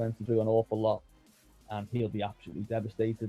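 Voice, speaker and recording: Over music in the background, a man with a fairly low pitch and a Scouse accent talks at a fairly quick pace in a monotone, flat intonation, with a dry, close sound and no echo. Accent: Scouse (Liverpool English). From Liverpool, England. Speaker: football journalist. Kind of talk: podcast interview answer.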